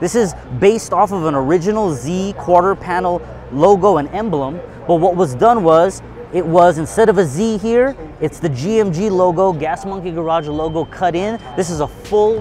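With light background noise and a dry sound lacking echo, a man talks in a high pitch. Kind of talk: walkaround explanation. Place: hall.

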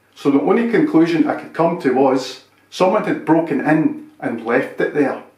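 A man talks at a fairly slow pace against a quiet background, with audible room echo. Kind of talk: scripted comedy dialogue. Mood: deadpan, mock-serious. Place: kitchen.

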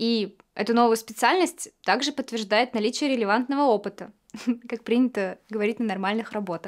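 A woman's fairly high voice at a moderate pace, with ordinary pitch variation and a quiet background. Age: 20s. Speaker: actress. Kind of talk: actor showreel self-introduction. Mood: warm, calm, lightly playful. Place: studio.

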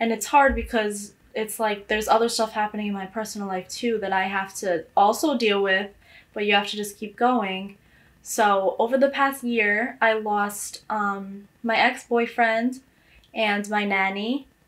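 A woman with an American accent speaks at a fairly high pitch. Her pace is fairly slow and her intonation fairly even. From New York City, the Bronx. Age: 20s. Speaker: college student. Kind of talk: interview testimony. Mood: reflective, somewhat sad. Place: home room.

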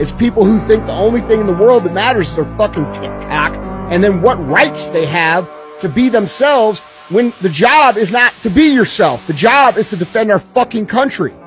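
At a moderate pace with few pauses, a man talks in a high pitch with lively intonation while faint music plays in the background.

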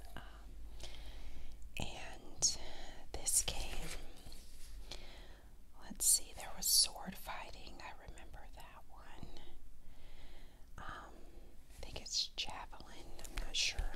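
Whispering at a very slow pace. Long, frequent pauses break it up. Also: woman. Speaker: ASMR creator. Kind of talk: casual show-and-tell talk to camera.

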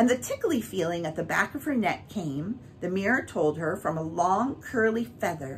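A natural voice reads the words aloud. Its intonation moves in a lively way.

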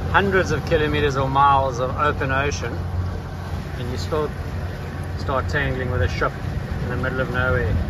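Loud background noise fills a recording whose sound is dry with no echo. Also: man. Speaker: sailor vlogger. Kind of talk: casual vlog chat. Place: boat. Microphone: phone near.

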